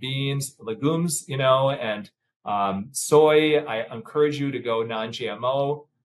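Somewhat breathy, a man with a General American accent speaks at a fairly high pitch. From US Midwest. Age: 50s. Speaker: plastic surgeon; guest. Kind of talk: casual chat. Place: office.

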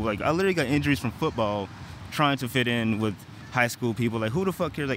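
Over light background noise, a man speaks very fast in a dry sound with no echo. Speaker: vlogger. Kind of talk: casual vlog chat. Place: street. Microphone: earbuds.

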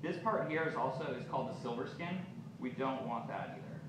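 A man's voice comes through with noticeable background noise and audible room echo. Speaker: chef instructor. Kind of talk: cooking class demonstration. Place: shop. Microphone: camera far.

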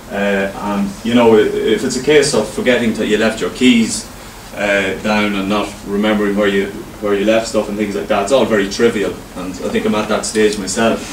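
A man speaks at a moderate pace in a monotone, flat intonation. Light background noise and audible room echo are present. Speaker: presenter. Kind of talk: presentation talk. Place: meeting room.

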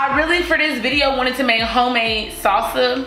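A woman's voice with ordinary pitch variation, clear music in the background and audible room echo. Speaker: cooking vlogger. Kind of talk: casual vlog chat. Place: kitchen. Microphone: camera far.

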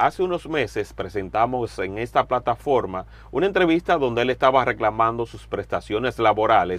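A man's normal speaking voice at medium pitch, moderate pace and lively intonation, over a quiet background. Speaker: journalist interviewer. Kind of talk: interview.

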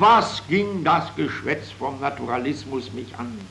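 Over light background noise, the pitch swings very widely. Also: man. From Silesia. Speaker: writer. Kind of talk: reading of own prose. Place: home room. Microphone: old recording.

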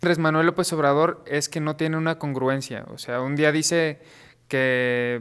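A man at a fairly high pitch, fairly slow and monotone with flat intonation, against a quiet background. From Mexico. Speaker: political panelist; panel debater. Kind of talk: heated debate. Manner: halting. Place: studio.

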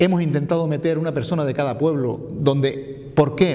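A man is speaking. His pace is fairly quick. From Canary Islands, Fuerteventura (Pájara); Canary Islands. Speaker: mayoral candidate, politician; candidate, politician. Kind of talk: interview. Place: meeting room. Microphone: lapel.

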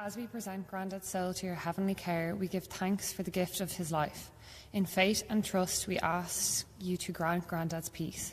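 The delivery is flat and monotone over light background noise. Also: woman, moderate pace. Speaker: grandchild of the deceased. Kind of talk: prayers of the faithful. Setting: church. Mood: solemn, emotional. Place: church. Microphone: podium.

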